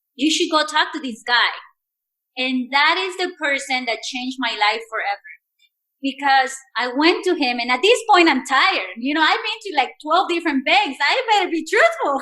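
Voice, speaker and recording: Raised and projected, a woman's high voice has a bright, sharp tone and a Spanish accent. Her pitch swings very widely. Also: moderate pace. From Mexico. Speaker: entrepreneur. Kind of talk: podcast interview answer.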